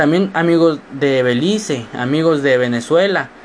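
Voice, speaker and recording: With noticeable background noise behind him, a man speaks, his pitch varying in an ordinary way. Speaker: student podcaster. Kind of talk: casual monologue. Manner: animated.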